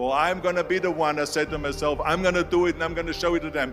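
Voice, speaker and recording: A man with an Austrian accent speaks in a high voice over background music. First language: German. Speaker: former bodybuilder, actor and politician. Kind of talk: motivational speech.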